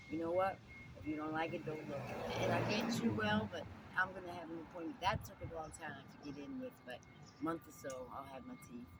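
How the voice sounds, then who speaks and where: An American accent at a fairly quick pace. Background noise is noticeable. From New Jersey. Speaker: homeless interviewee. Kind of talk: interview.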